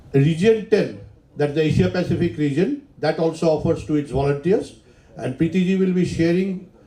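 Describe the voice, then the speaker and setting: With audible room echo around him, a man of fairly high pitch speaks at a fairly quick pace with ordinary pitch variation. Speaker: engineer and professional society volunteer. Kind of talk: conference talk. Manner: loud.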